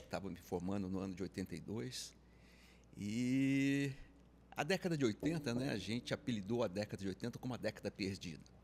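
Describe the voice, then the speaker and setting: On a very clean recording with a silent background, a man with a plain, everyday voice talks fairly quickly at a fairly low pitch and lively intonation. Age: 60s. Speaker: insurance advisory business pioneer. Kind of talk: interview conversation.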